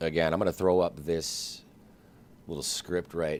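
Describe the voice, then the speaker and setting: Soft-spoken and monotone, a man talks with an American accent in flat intonation. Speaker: flight simulator streamer. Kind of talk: live gameplay stream commentary.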